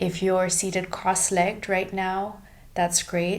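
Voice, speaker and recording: A woman's somewhat breathy, calm tone at a fairly slow pace, with monotone, flat intonation. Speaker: yoga and Ayurveda teacher. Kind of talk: guided breathing meditation. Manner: calm, slow, instructional.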